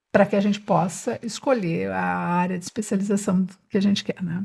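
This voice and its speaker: A somewhat breathy woman's voice at medium pitch, fairly quick in pace, in a very clean recording with a silent background. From São Paulo state, Brazil (Jundiaí). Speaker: neuropediatric physiotherapist. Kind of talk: podcast interview.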